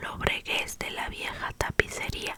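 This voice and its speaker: Noticeable background noise fills the recording. Under it, a woman whispers at a very slow pace. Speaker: ASMR creator. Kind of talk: whispered novel reading. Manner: whispered.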